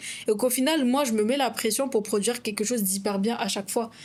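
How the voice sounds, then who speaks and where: A woman with a non-native accent, fairly high in pitch, at a fairly quick pace with ordinary pitch variation. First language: not French (speaking French). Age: 20s. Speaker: content creator and podcast co-host. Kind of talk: casual podcast conversation.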